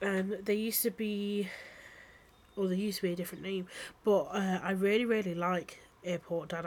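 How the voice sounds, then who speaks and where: A woman's medium-pitched voice with an English accent, fairly even intonation, and a moderate pace. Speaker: podcast host. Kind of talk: casual solo monologue intro. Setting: recording at home while on TikTok Live.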